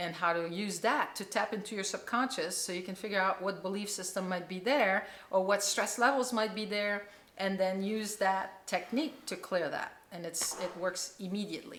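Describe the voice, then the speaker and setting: This woman has a normal speaking voice at a medium pitch. She talks at a moderate pace with fairly even intonation. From Quebec, Canada. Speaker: chiropractor and holistic healer. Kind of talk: interview answer.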